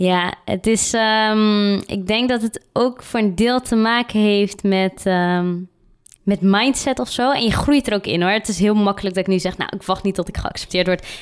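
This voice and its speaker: A woman speaks with an unremarkable speaking voice. Her pitch is medium and her intonation fairly even. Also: fairly slow pace. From Netherlands, Randstad. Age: 20s. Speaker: diversity consultant. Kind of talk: interview.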